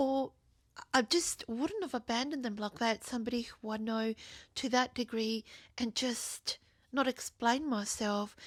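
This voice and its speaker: With a non-native accent, the speaker keeps a moderate pace and fairly even intonation. The recording is very clean and dry, with a silent background and no echo. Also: woman. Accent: non-native accent, self-noted. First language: not English (bilingual). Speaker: video journal vlogger. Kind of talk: personal monologue.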